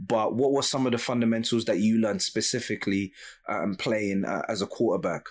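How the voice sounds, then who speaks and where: On a very clean recording with a silent background, a normal speaking voice goes along fairly quickly, its pitch varying in an ordinary way. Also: man, medium pitch for a man. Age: 30s. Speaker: podcast host. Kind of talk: interview.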